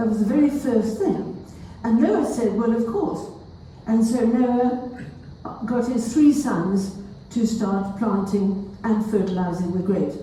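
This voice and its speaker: Noticeable background noise and audible room echo surround a woman's fairly high voice. She talks at a fairly slow pace with ordinary pitch variation. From South Africa. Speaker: wine lecturer. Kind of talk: lecture. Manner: animated.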